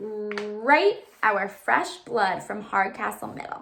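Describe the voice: A woman puts on a character voice at a medium pitch, speaking at a slow pace with lively intonation, vocal fry and a fairly bright tone.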